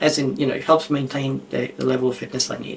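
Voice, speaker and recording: A man speaks at a fairly quick pace while noticeable background noise fills the recording. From Australia. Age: 60s. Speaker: author and cognitive science expert. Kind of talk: podcast interview.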